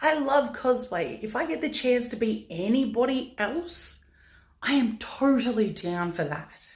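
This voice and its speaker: Loud and high-pitched, a woman's voice moves at a fairly slow pace. Her pitch swings very widely. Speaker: vlogger, pin-up model. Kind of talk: casual Q&A vlog.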